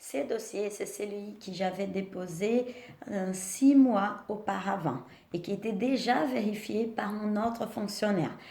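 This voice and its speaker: Amid noticeable background noise and audible room echo, a woman with a medium pitch and a strong non-native accent speaks at a very slow pace. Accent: strong foreign accent in French. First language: not French (speaking French). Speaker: vlogger sharing naturalisation experience. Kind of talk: personal vlog with advice. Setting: at home.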